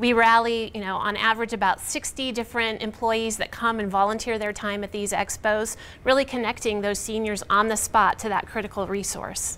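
A woman talks at a fairly quick pace with hardly any pauses. Her intonation is monotone and flat. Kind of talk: interview answer. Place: studio.

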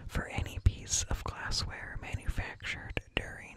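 A soft-spoken man whispers at a fairly slow pace, the sound dry with no echo. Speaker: streamer or content creator. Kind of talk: reading an informative article aloud. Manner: soft close-mic whisper. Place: home room. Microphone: studio mic.

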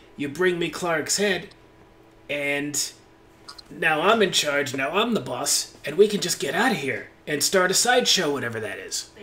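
Using a put-on character voice, a man speaks high at a moderate pace. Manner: wheedling, eager to make a deal.

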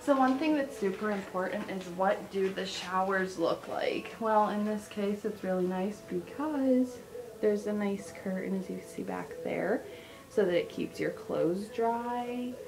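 There is noticeable background noise as a woman speaks at a fairly slow pace. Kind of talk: casual vlog chat. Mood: pleased, positive. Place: bathroom. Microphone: phone near.

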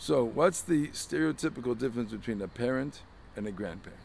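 At a moderate pace, a man talks over light background noise in a dry sound with no echo. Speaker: religious teacher. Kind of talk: sermon. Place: street. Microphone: phone near.

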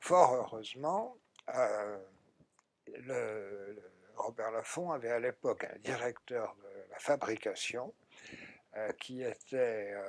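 A man talks at a very slow pace with long, frequent pauses and big swings in loudness. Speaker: science fiction writer and editor; interviewee. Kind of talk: interview. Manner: halting, many hesitations. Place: studio. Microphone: lapel.

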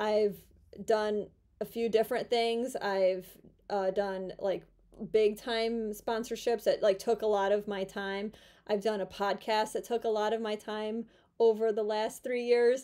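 A woman's fairly high voice, flat and monotone, at a fairly slow pace over a quiet background. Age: 30s. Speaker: YouTuber and former physical therapist. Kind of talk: casual vlog monologue. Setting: at home in her room. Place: home room. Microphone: phone near.

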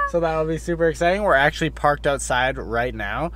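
Recorded dry with no echo but with noticeable background noise, a man talks at a fairly quick pace. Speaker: vlogger. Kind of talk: casual vlog chat. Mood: excited, cheerful. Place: car. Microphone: phone near.

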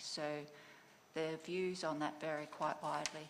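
The speaker talks in an Australian accent. The intonation is monotone and flat. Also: woman. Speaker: government department official. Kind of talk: formal presentation. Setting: conference venue with live audience. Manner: formal.

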